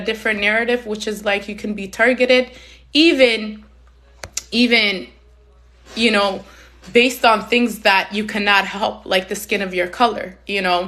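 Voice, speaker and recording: A woman speaks loudly at a moderate pace in a passionate, bright, sharp tone, her fairly high pitch carrying fairly even intonation. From Somalia, raised in Canada from age six. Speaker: community advocate, live stream host. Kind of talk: live stream talk. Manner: emphatic, passionate.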